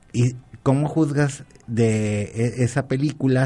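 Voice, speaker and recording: Background music can be heard. Pitch variation is ordinary. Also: man. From Colima, Mexico. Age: 50s. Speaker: university professor. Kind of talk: radio talk show interview. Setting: radio studio.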